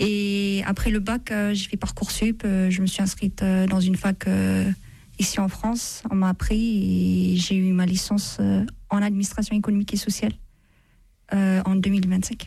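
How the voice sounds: A woman with a medium pitch and a dark, mellow tone speaks at a moderate pace, showing vocal fry and little pitch movement.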